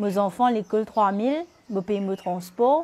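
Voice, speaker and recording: A woman with a Mauritian accent, a dark, mellow tone and a fairly slow pace. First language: Mauritian Creole (speaking French). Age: 30s. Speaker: interviewee, single parent. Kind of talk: testimony.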